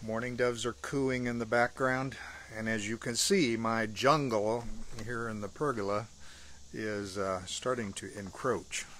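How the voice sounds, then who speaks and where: The voice comes at a fairly slow pace in a dry sound with no echo, with light background noise. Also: man. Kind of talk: casual vlog chat. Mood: warm, relaxed. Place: garden. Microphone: phone near.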